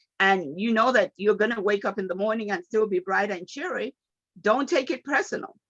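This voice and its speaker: With a Nigerian accent and an animated tone, a woman talks at a fairly quick pace and a fairly high pitch, using lively intonation in a dry, close sound with no echo. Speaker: motivational speaker. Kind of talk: motivational talk.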